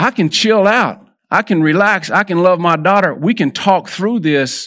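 With a Texan accent, a man speaks in a bright, sharp tone and lively intonation, recorded very cleanly against a silent background. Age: 50s. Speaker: lay preacher. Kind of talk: sermon. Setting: church.

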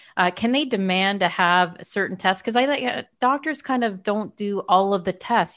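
An ordinary speaking voice from a woman, medium in pitch with ordinary variation, at a moderate pace against a quiet background. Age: 50s. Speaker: podcast host and health coach. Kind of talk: interview.

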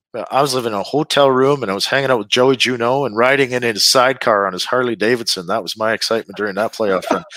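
A man with a Canadian Prairies accent at medium pitch, his bright, sharp tone dry and close with no echo, on a very clean recording with a silent background. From Saskatchewan, Canada. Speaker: retired hockey player. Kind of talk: interview.

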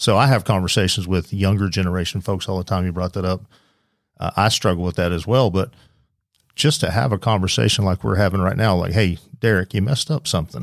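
Someone with a Southern US accent talks at a very fast pace with ordinary pitch variation, in a very clean recording with a silent background. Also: man, very deep, low pitch for a man. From Oklahoma. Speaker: police lieutenant, SWAT commander. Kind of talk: casual chat. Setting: studio.

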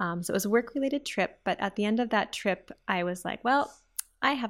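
In an Upper Midwest accent, a woman speaks at a fairly quick pace. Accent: Upper Midwest American. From Minnesota, US (Twin Cities). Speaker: grants and scholarships director. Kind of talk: interview.

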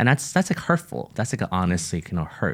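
A man's very deep, low voice comes through on a very clean recording against a silent background. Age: 40s. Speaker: ministry entrepreneur and podcast co-host. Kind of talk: casual chat.

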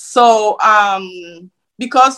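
The speaker is a woman. She talks with a Nigerian accent. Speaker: nurse. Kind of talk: interview. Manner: hesitant, filler words.

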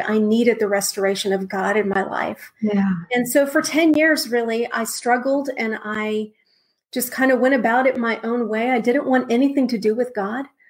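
A woman with an American accent and a normal speaking voice, fairly high pitch, fairly even intonation and a moderate pace. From Texas, San Antonio. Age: 40s. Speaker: minister. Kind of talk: testimony.

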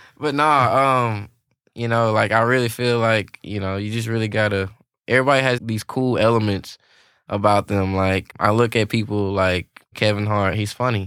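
At a moderate pace, a man with a Louisiana accent talks in a fairly low pitch with fairly even intonation. The recording is very clean, and the background is silent. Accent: US Southern (Louisiana). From Louisiana, Alexandria. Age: 20s. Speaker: drummer. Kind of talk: casual chat. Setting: studio.

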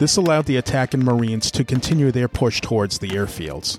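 With music in the background, a man speaks in a dramatic tone at a fairly quick pace, in a medium pitch with ordinary pitch variation. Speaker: podcast host. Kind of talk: scripted WWII history narration, read steadily like a documentary. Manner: measured, even, solemn and respectful pace; formal, dramatic storytelling tone.

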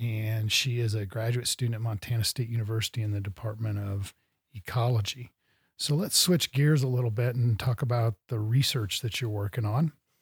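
With an American accent, a man speaks at medium pitch and moderate pace, somewhat breathy, with fairly even intonation, on a very clean recording with a silent background. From US Midwest. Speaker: podcast host. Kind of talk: interview. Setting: studio.

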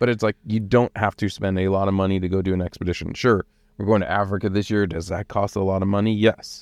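A man with an American accent uses an unremarkable speaking voice, fairly low in pitch with fairly even intonation, in a dry, close recording with no echo. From Los Angeles, US West Coast. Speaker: marketing lead at overland company. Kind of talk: casual chat. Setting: studio.

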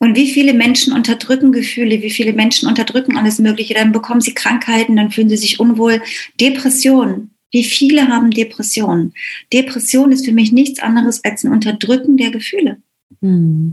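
A woman talks at a fairly quick pace in a plain, everyday voice. Her pitch is fairly high and her intonation fairly even. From East Germany. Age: 50s. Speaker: business mentor. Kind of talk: interview.

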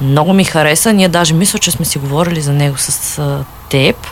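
Noticeable background noise surrounds this clip. A woman talks at a moderate pace. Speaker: book blogger. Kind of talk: casual chat. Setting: studio. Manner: animated.

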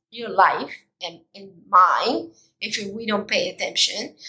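A woman's fairly high, bright, sharp voice at a very slow pace. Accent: non-native. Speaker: podcast host, mindfulness coach. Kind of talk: solo motivational talk. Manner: animated.

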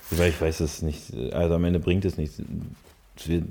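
Fairly quick and in a monotone, flat intonation, a man speaks at a very deep, low pitch. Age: 30s. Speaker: artist. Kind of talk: casual chat. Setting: studio.

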